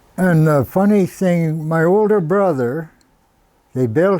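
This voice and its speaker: At a fairly slow pace, a man with a high pitch and a dark, mellow tone speaks with ordinary pitch variation. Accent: rural Canadian. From Madawaska, eastern Ontario, Canada. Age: 80s+. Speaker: model aircraft builder. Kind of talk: casual storytelling interview.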